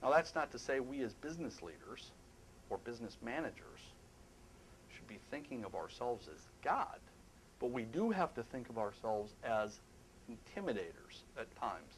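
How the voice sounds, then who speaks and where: Moderately paced speech from a man, broken by long, frequent pauses, over light background noise. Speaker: presenter. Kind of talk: lecture. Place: hall.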